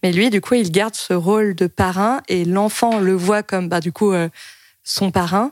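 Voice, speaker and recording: An unremarkable speaking voice from a woman at medium pitch, fairly slow, with fairly even intonation and very even loudness, on a very clean recording with a silent background. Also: dry, close sound with no echo. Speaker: podcast host. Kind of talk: casual chat.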